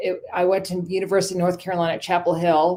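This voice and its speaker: A woman with a fairly low, dark, mellow voice at a fairly quick pace. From United States, German immigrant family. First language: German. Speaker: communications firm founder and coach. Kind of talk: interview. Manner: halting, many fillers.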